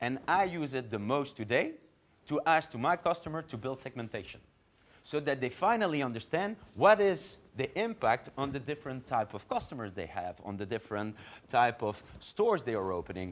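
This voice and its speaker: A man talks at a medium pitch with very wide pitch swings. The recording is very clean, with a silent background. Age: 40s. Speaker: marketing executive. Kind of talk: conference talk. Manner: fast.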